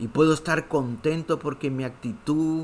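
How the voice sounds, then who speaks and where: A man at a very slow pace. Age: 60s. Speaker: pastor. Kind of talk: sermon.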